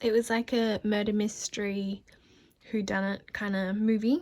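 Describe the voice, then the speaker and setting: A woman with an Australian accent, fairly high-pitched, with fairly even intonation and a moderate pace. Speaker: vlogger. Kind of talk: casual vlog talk.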